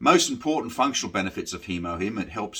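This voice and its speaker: On a very clean recording with a silent background, a man with an Australian accent and a bright, sharp tone speaks at a fairly quick pace, with a fairly low pitch and ordinary pitch variation. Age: 60s. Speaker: military veteran and delivery rider sharing health experience. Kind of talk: informal talk to camera about a supplement. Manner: halting, many fillers.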